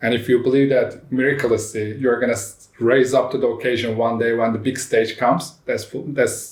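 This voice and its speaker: Speaking at a fairly quick pace, a man with a Turkish accent holds a medium pitch in a monotone, flat intonation. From Turkey. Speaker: startup CEO. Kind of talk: interview. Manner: emphatic.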